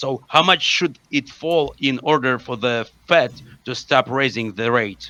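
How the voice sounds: A man speaks at a fairly slow pace, his pitch medium. His tone is bright and sharp, with ordinary pitch variation.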